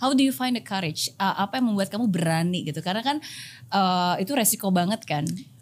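A woman talks at a very fast pace, somewhat breathy, with lively intonation. The recording is very clean, with a silent background. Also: medium pitch for a woman. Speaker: podcast host. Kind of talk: scripted intro; interview chat.

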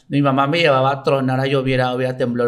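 On a very clean recording with a silent background, a man in a normal speaking voice talks at a fairly quick pace, medium in pitch, with fairly even intonation. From Mexico, Veracruz (Coatzacoalcos). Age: 30s. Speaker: taekwondo athlete and coach. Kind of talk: casual interview chat.

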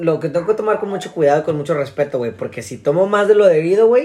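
The speaker goes at a very fast pace with ordinary pitch variation. Background noise is noticeable. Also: man. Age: 20s. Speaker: podcast host. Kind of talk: casual chat.

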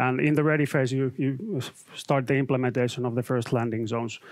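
With a quiet background, a man in a Finnish accent speaks at a medium pitch and fairly even intonation. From Finland. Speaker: IT consultant and trainer. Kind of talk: live webcast presentation. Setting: studio.

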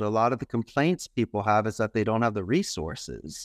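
Against a quiet background, a man with a medium pitch and lively intonation speaks at a moderate pace, the sound dry and close with no echo. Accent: Philadelphia. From Philadelphia, US. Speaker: call center owner in Costa Rica. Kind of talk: casual interview chat.

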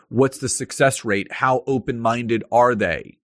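A normal speaking voice with a dry, close sound and no echo. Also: man. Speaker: LinkedIn marketing consultant. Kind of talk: interview.

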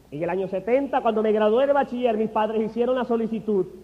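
A man with a high-pitched voice speaks very fast in an animated tone. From Honduras. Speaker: physician turned preacher. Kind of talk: religious testimony. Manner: animated, emphatic.

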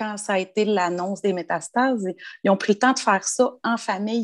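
In a Quebec accent, a woman speaks at medium pitch and a moderate pace with ordinary pitch variation, in a dry, close sound with no echo against a quiet background. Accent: Québécois French. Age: 40s. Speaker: bereaved sister. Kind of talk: casual interview.

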